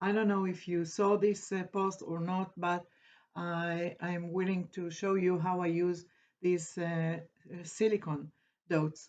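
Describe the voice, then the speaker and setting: A woman's fairly low, monotone voice at a fairly slow pace, with flat intonation over a quiet background. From Israel. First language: Hebrew. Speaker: craft tutor. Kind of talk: tutorial. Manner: halting, many fillers.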